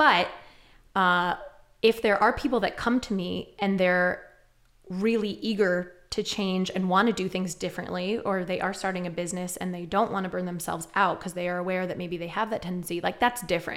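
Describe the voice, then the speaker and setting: In an ordinary speaking voice, a woman talks at a fairly quick pace with medium pitch and fairly even intonation. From New York, Westchester. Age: 30s. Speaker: entrepreneur and coach. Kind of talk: casual chat.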